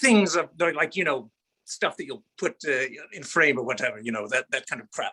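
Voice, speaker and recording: A man's raised, projected voice has a bright, sharp tone and very wide pitch swings. The sound is dry and close, with no echo. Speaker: hobby woodworker giving a work presentation. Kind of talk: humorous presentation. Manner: animated; loud.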